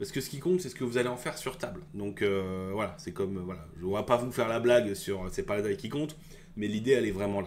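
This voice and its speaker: The delivery is very fast, with lively intonation. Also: man, fairly low pitch for a man. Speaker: tabletop wargaming youtuber. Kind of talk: casual video commentary. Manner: hesitant, many fillers.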